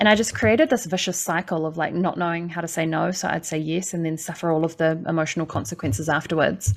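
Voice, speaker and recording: With a New Zealand accent, a woman talks at a very fast pace with hardly any pauses, her pitch fairly low and her pitch variation ordinary. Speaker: life coach. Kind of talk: casual interview.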